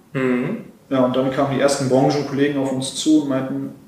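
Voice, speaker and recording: At a moderate pace, a man with a fairly high pitch talks with fairly even intonation amid noticeable background noise and audible room echo. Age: 20s. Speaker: car workshop manager and startup founder. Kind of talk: interview. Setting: on location at a car workshop.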